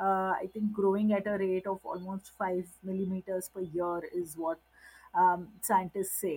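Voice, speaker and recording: At a fairly slow pace, a woman speaks in a medium pitch with a dark, mellow tone and monotone, flat intonation. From Middle East, Gujarati family. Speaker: social worker and environmental activist. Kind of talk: talk. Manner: hesitant, many fillers.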